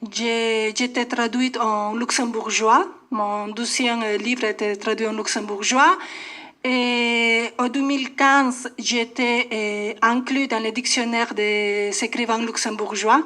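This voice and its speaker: The voice has a bright, sharp tone and fairly even intonation. It moves at a very slow pace. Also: woman, fairly high pitch for a woman. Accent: Spanish. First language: Spanish (speaking French). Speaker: poet. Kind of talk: radio interview. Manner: halting.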